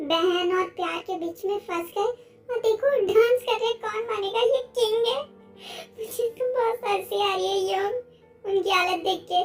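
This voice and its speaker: Over clear background music, a put-on character voice moves at a moderate pace with ordinary pitch variation. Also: woman. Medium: fan dub. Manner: playful, gossipy.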